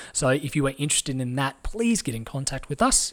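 A man with an Australian accent talks at a fairly quick pace in an upbeat tone, his voice fairly high with ordinary pitch variation. The recording is very clean, with a silent background. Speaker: fitness podcast host. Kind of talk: casual interview chat. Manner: upbeat, conversational.

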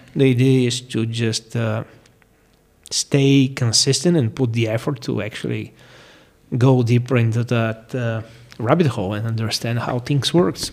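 The speaker has a Bulgarian accent and a moderate pace. Intonation stays fairly even. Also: man, medium pitch for a man. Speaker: firearms instructor. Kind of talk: interview.

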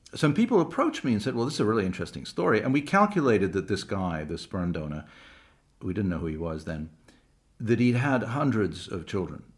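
Lively intonation marks this man's fairly low voice. He moves at a fairly quick pace. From England and Canada. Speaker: documentary filmmaker and screenwriter. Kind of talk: interview. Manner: halting, many repetitions.

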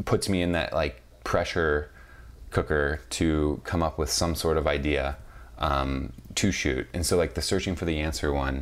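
A man talks at a moderate pace in a very deep, low voice with vocal fry. His intonation stays fairly even. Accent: American. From US Midwest, St. Louis, Missouri. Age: 20s. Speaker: photographer and videographer. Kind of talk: interview.

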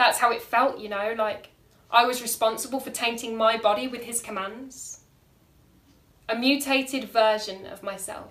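A woman with a plain, everyday voice, fairly high in pitch, at a moderate pace, with fairly even intonation and big swings in loudness. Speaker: performance poet. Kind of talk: poem performed, spoken-word slam style with rhyme, delivered with dramatic emphasis. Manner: intense, emotive, rhythmic, pointed and vivid.

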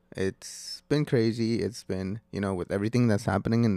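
A dark, mellow male voice, fairly low in pitch, at a moderate pace in a dry, close recording with no echo, very clean with a silent background. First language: Spanish. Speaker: podcast host. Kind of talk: casual solo monologue. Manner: hesitant, with fillers.

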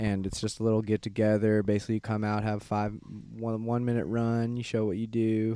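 A man with a Midwestern American accent speaks fairly quickly in a dark, mellow tone, fairly low in pitch with monotone, flat intonation, in a very clean recording with a silent background. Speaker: guest. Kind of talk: casual chat.

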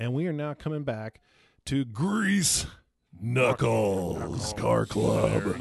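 Very slow, put-on character voice from a man, pitched at a medium level. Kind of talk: polished broadcast announcer.

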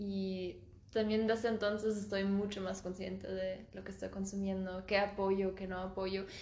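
A woman at medium pitch with monotone, flat intonation and a fairly slow pace, with audible room echo and noticeable background noise. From Germany (Stuttgart). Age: 20s. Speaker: singer-songwriter. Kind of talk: casual chat.

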